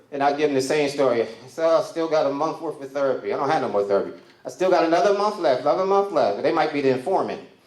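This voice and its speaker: Amid noticeable background noise and audible room echo, a man speaks very fast at a fairly high pitch with ordinary pitch variation. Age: 60s. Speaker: comedian. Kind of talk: stand-up. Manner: animated.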